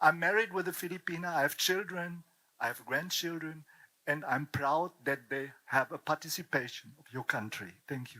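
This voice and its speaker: In a very clean recording with a silent background and a dry, close sound with no echo, a man speaks at a moderate pace in a fairly high pitch, his bright, sharp tone showing ordinary pitch variation and big swings in loudness. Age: 70s. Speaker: audience member. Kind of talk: audience comment. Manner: halting.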